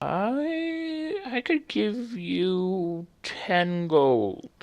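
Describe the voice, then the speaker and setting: A put-on character voice at middle pitch. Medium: actual play.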